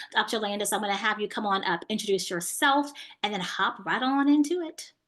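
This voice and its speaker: With an American accent, a woman is talking. The intonation she uses is lively. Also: fairly high pitch for a woman, fairly quick pace. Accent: slight country. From Houston, Texas. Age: 30s. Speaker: business coach for health practitioners. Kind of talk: online masterclass talk.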